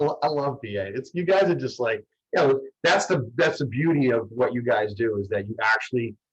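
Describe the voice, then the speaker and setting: A man with a Boston accent talks at a fairly quick pace in a medium pitch, his intonation lively and his voice somewhat breathy. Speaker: mortgage broker. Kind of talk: panel discussion. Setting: video call. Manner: halting.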